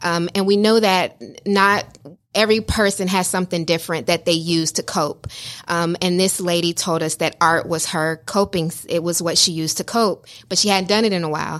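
On a very clean recording with a silent background, a woman uses an ordinary speaking voice, fairly low in pitch, with fairly even intonation at a moderate pace. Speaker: visual artist, business owner.

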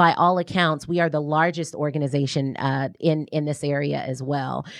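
In an American accent, a woman with a very deep, low pitch speaks at a moderate pace with fairly even intonation against a quiet background. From US South, New Orleans. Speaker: nonprofit president and business development director. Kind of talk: radio interview. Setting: radio studio.

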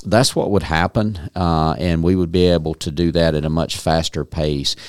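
With a Southern US accent, a man speaks in a very deep, low pitch. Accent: Southern US (Georgia). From North Georgia, Dawson County. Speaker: county manager. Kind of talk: interview. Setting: studio.

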